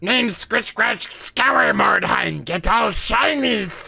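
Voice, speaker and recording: A man's put-on character voice, squeaky and high-pitched, at a very slow pace. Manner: gleeful, grabby.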